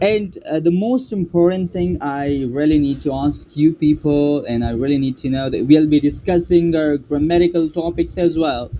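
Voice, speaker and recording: The voice has a dark, mellow tone and ordinary pitch variation. It moves at a moderate pace with hardly any pauses. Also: man, fairly high pitch for a man. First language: Pashto. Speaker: English teacher YouTuber. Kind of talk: casual tutorial.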